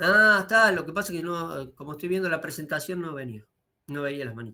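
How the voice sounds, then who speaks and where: A man's bright, sharp voice at a fairly quick pace, lively in intonation, with big swings in loudness. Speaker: university lecturer. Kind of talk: lecture. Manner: fast.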